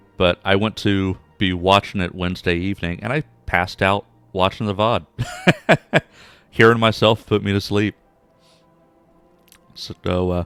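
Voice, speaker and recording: A man's fairly low voice at a moderate pace, fairly even in intonation, with long, frequent pauses, sounding dry and close with no echo, and music in the background. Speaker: streamer. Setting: live stream.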